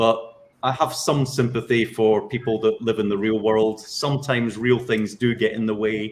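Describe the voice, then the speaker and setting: A man of medium pitch speaks with a Scottish accent. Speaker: civil service training director. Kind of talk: panel discussion.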